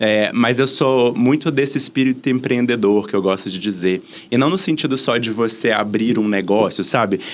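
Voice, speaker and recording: A man with a Minas Gerais accent talks at a moderate pace in a medium pitch with ordinary pitch variation. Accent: Minas Gerais (mineiro) accent, noticeable. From Brazil, Minas Gerais (Belo Horizonte). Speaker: diversity and inclusion specialist. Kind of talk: podcast interview.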